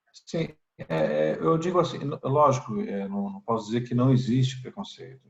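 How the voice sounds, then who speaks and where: Pitch swinging very widely, a man speaks at a moderate pace. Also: medium pitch for a man. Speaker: member of parliament. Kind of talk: interview. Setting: video call. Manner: halting, many repetitions and fillers.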